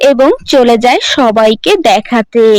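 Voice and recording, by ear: A woman's lively intonation comes through as she talks fairly slowly.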